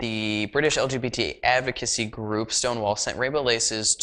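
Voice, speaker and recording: Recorded very cleanly over a silent background, a man talks at medium pitch with ordinary pitch variation. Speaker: web TV show host. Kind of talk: news commentary show. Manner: fast.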